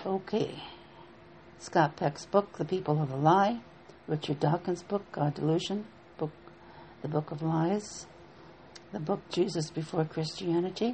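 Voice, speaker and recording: At a fairly slow pace, a woman talks in a somewhat breathy voice with ordinary pitch variation and long, frequent pauses. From Appalachia. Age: 70s. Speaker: minister. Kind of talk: spiritual teaching talk. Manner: halting.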